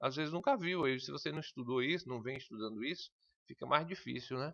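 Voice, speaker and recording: Here a man with a fairly high pitch, a bright, sharp tone and vocal fry talks at a fairly quick pace with ordinary pitch variation, in a dry, close sound with no echo. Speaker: computer skills teacher for civil service exams. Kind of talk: online lesson. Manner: fast.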